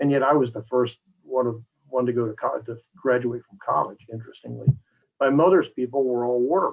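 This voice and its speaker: A man at medium pitch with ordinary pitch variation and a fairly quick pace. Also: big swings in loudness. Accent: American. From Maryland Eastern Shore (US Mid-Atlantic). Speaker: executive search consultant. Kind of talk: interview. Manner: halting, many repetitions and fillers.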